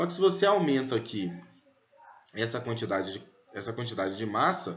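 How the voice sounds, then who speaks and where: A man at a medium pitch and moderate pace, with very wide pitch swings and audible room echo. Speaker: physics teacher. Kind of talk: lecture.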